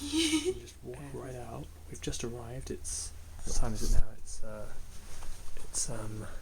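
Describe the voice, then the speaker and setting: A man speaks with long, frequent pauses and big swings in loudness. Noticeable background noise and audible room echo fill the recording. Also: fairly slow pace. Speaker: travel vlogger. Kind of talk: casual vlog narration. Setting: outdoors in a park; small hotel room. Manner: halting.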